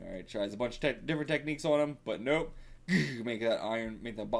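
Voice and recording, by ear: Natural-voiced reading aloud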